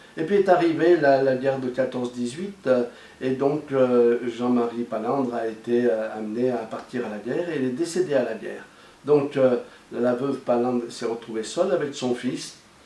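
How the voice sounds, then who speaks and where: A man with a mid-range pitch and normal pitch movement talks at a moderate speed, with noticeable noise in the background. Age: 60s. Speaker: former farmer and pastoral educator. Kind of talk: testimony. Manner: halting, many hesitations.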